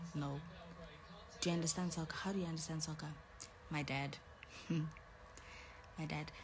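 A woman with a fairly low pitch talks fairly slowly amid noticeable background noise. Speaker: live streamer. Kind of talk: casual live stream chat. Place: home room. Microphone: phone near.

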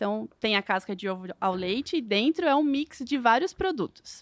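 A woman's high-pitched voice at a moderate pace with very wide pitch swings, over a quiet background. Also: dry sound with no echo. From Lapa, Paraná, southern Brazil; Paraná, Brazil. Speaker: food industry engineer; guest. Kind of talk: casual interview chat. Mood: cheerful, friendly. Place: studio. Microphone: studio mic.

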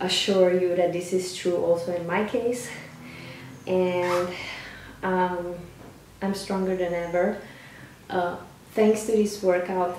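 Over light background noise and audible room echo, a woman speaks very slowly. Her intonation is monotone and flat. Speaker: fitness coach. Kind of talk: casual vlog chat. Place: home room. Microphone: camera far.

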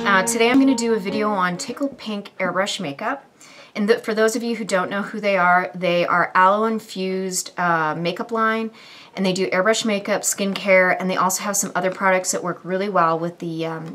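The speaker is a woman talking at a fairly quick pace. She shows ordinary pitch variation. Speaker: beauty vlogger. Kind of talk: tutorial. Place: home room.

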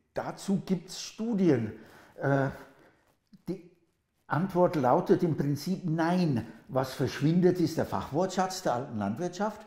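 Very slowly and with long, frequent pauses, a man speaks in a high pitch with a dark, mellow tone and lively intonation, over a quiet background with audible room echo. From England. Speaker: linguist, professor. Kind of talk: interview answer. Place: kitchen. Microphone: lapel.

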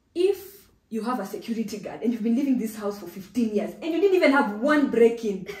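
Fairly quick speech from a woman, with audible room echo and a quiet background. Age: 30s. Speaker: insurance risk specialist, business founder; guest. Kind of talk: interview, explaining. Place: home room.

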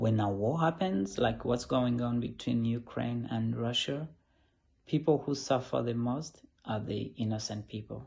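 A man speaks at a fairly slow pace with ordinary pitch variation. His voice is somewhat breathy. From Uganda. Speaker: social worker. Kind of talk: personal statement. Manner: halting, with fillers and repetitions. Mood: earnest, calm. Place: home room. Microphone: phone near.

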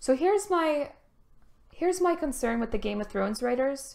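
Over a quiet background, a woman talks at a moderate pace with a high pitch and lively intonation. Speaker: game streamer. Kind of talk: casual stream chat. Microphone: headset.

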